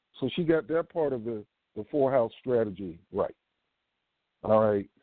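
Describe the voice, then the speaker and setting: Using lively intonation and a medium pitch, a man speaks at a moderate pace with long, frequent pauses. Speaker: podcast host. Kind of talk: live call-in show. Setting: live stream with phone callers.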